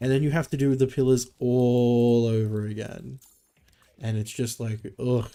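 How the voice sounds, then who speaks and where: A man speaks at a medium pitch with a dark, mellow tone. His intonation is monotone and flat. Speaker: gaming streamer. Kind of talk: casual livestream commentary. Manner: casual, filler-heavy.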